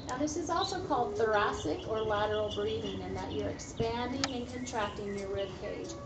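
Clear music plays behind the voice. A woman talks at a moderate pace over it. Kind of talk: tutorial. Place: garden.

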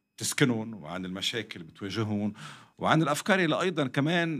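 At a moderate pace, a man's pitch swings very widely while the background stays quiet. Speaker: podcast guest. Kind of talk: interview answer. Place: studio. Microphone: studio mic.

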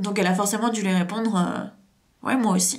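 The voice is somewhat breathy, moving at a moderate pace with ordinary pitch variation. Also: woman. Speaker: hypnotherapist and trauma coach YouTuber; therapist or coach. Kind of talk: story time monologue to camera. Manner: halting, many fillers. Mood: serious, emotionally engaged. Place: home room. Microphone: camera far.

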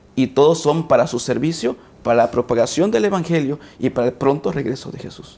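A man's dark, mellow tone, fairly high in pitch, at a moderate pace. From Mexico, Coatzacoalcos, Veracruz. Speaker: teacher and graduate student. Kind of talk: panel discussion. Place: studio. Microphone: lapel.

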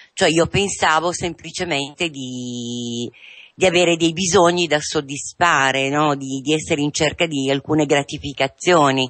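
Over a quiet background, a woman talks at a fairly slow pace. Her voice is very deep and low, with ordinary pitch variation. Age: 50s. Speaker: patient in addiction recovery. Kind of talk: testimony. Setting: radio studio. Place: studio.

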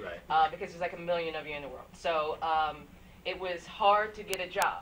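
Light background noise sits under speech delivered at a fairly quick pace. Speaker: guest. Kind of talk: interview answer. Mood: cheerful, self-deprecating. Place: studio.

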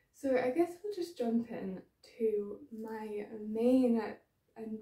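A woman speaks with a dark, mellow tone. The background is quiet, but room echo is audible. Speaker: knitting podcaster. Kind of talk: casual vlog chat. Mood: cheerful, laughing. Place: home room. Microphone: phone near.

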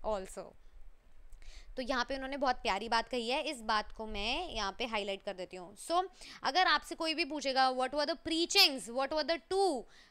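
The voice is raised and projected, with a bright, sharp tone. It sounds animated and moves through very wide pitch swings. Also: woman, high pitch for a woman, moderate pace. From India. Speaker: online teacher. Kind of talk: lecture. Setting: live stream. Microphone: headset.

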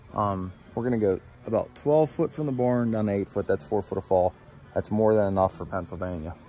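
A man at a fairly quick pace, ordinary pitch variation, dry sound with no echo, light background noise underneath. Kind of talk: tutorial. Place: garden. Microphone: phone near.

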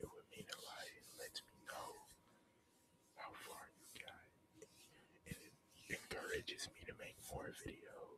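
A man whispers at a fairly slow pace. Long, frequent pauses break up his words. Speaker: ASMR creator. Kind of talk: whispered ASMR chit-chat. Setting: home recording with background noise. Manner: soft, whispering. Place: home room. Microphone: studio mic.

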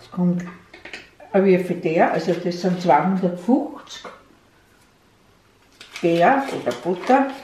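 With an Austrian accent, a woman talks at a very slow pace, leaving long, frequent pauses, her loudness swinging widely, amid audible room echo and light background noise. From Burgenland, eastern Austria. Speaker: grandmother baker. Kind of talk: cooking demonstration. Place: kitchen. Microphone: camera far.

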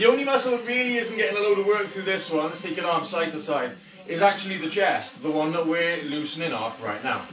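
A man talks at a very fast pace with a high pitch. Noticeable background noise sits behind him. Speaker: fitness instructor. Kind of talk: live workout class instruction. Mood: jokey, upbeat. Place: home room. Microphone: camera far.

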